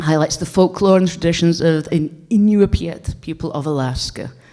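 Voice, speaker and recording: In a northeastern Scottish accent, a woman with a fairly low pitch and a dark, mellow tone talks at a moderate pace with fairly even intonation. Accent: Scottish, north-east (Doric). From Scotland, Aberdeenshire. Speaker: game designer and heritage researcher. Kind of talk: conference talk.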